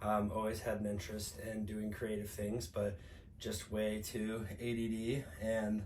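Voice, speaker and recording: With an American accent, a man talks in a fairly even intonation and very even loudness, with audible room echo in the recording. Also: fairly slow pace. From US Midwest, St. Louis, Missouri. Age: 30s. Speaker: podcast co-host. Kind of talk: casual chat. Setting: indoor podcast recording while traveling.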